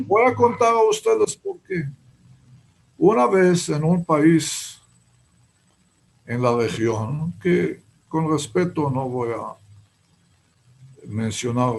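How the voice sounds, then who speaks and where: The speech moves very slowly, with very wide pitch swings, big swings in loudness, and long, frequent pauses. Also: man, fairly high pitch for a man. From Israel, Haifa. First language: Hebrew (speaking Spanish). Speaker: writer. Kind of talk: interview. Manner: halting.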